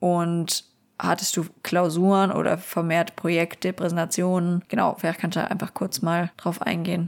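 Over a very clean recording with a silent background, a woman speaks at a moderate pace and fairly low pitch with very even loudness. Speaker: podcast host and university student. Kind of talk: casual chat. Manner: animated.

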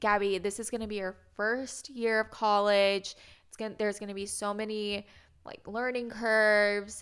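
A woman with an American accent talks at a fairly slow pace in a fairly high pitch, her bright, sharp tone held to a monotone, flat intonation, recorded very cleanly against a silent background. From Indianapolis, Indiana, US Midwest. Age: 20s. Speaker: podcast co-host. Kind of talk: casual chat.

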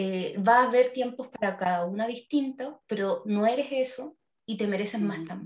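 A woman with a Chilean accent speaks at a moderate pace, her fairly high pitch showing ordinary variation. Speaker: psychologist podcast co-host. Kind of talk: casual chat.

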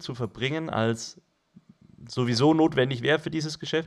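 A man talks at a moderate pace, recorded very cleanly against a silent background. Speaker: podcast co-host. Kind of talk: casual chat.

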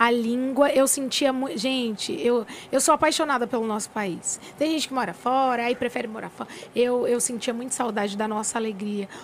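With a high pitch and ordinary pitch variation, a woman talks at a moderate pace over noticeable background noise. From São Paulo state interior, Brazil. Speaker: gospel singer. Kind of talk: casual interview chat.

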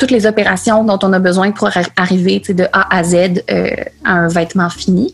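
Noticeable background noise surrounds this woman's voice. She keeps a moderate pace and fairly even intonation. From Quebec City, Quebec. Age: 20s. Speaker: sustainable fashion designer and entrepreneur. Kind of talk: interview.

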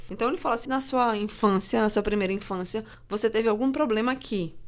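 Speaking in a normal speaking voice, a woman uses a fairly high pitch, ordinary pitch variation and a fairly quick pace. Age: 30s. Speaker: journalist, social media worker, astrology believer. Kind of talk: debate on a student radio show.

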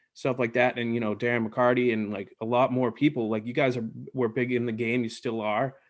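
A man with an American accent and a normal speaking voice, medium in pitch with fairly even intonation, over a quiet background. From Boston. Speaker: podcast host. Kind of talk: casual chat.

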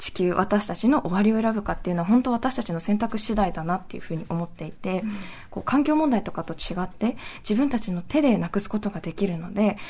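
A woman talks at a very fast pace with lively intonation, her pitch medium. Her tone is dark and mellow, and somewhat breathy. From Nagasaki, Japan. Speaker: anti-nuclear activist. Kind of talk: interview.

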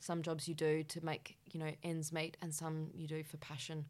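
On a very clean recording with a silent background, a woman with an Australian accent speaks at a fairly quick pace in a very deep, low pitch. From Western Australia, Perth. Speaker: cooking show contestant and creative director. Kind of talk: casual interview. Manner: animated.

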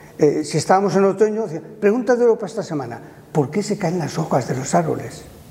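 Over noticeable background noise, a man speaks at a moderate pace in a high pitch. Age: 70s. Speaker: retired primary school teacher. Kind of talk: casual interview.

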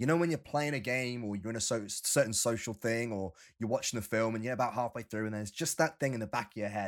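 A man uses a normal speaking voice at a medium pitch in a very clean recording with a silent background. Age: 30s. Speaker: podcast host. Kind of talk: casual chat.

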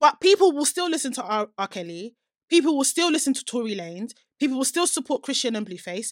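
Animated and very fast, a woman with a high voice speaks with very wide pitch swings and big swings in loudness. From UK. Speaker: podcast co-host. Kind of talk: casual chat podcast banter. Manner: animated, talkative, laughs often.

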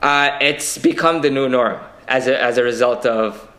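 A man speaks in a bright, sharp tone, with audible room echo around him. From Queens, New York City. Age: young. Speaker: political candidate. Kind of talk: interview.

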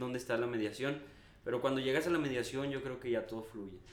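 A man speaks at a medium pitch with a Mexican accent. Noticeable background noise and audible room echo surround him. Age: 20s. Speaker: entrepreneur. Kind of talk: casual chat.

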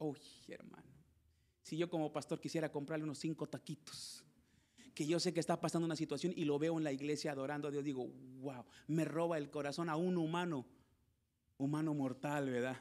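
A fairly high-pitched man at a moderate pace, in a very clean recording with a silent background. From Mexico, Zacatecas and Piedras Negras. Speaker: pastor. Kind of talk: sermon. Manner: animated.

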